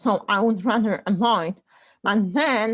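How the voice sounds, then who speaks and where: Speaking very slowly with a non-native accent, a woman uses a fairly high voice and lively intonation. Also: very clean recording, silent background. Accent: foreign. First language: not English. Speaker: panelist. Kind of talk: casual panel discussion. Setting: group call.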